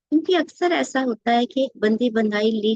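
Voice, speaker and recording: With lively intonation, a woman talks in a dry, close sound that has no echo. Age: 60s. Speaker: retired content creator. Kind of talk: personal monologue to camera. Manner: conversational, with hesitations.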